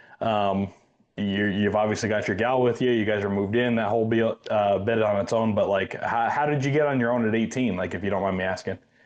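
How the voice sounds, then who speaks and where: This man has a plain, everyday voice with fairly low pitch. He speaks at a fairly quick pace with fairly even intonation. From Iowa. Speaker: hunting podcast host. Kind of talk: casual interview.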